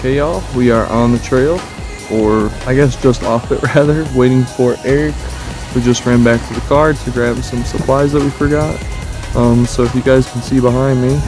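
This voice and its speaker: A man speaks at a moderate pace with fairly even intonation. Music is clearly heard behind his voice, and the sound is dry with no echo. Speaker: hiking vlogger. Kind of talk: casual vlog chat. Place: open country. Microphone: phone near.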